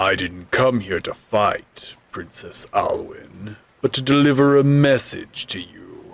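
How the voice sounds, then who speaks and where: Using a put-on character voice, a man speaks fairly high and at a fairly slow pace with hardly any pauses. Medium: game stream. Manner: grandiloquent, sneering.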